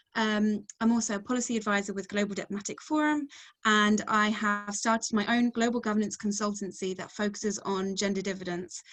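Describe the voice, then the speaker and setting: With an English accent, a woman talks at a fairly quick pace, holding a medium pitch and fairly even intonation. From England. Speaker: researcher and webinar moderator. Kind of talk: webinar self-introduction. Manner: hesitant, many fillers.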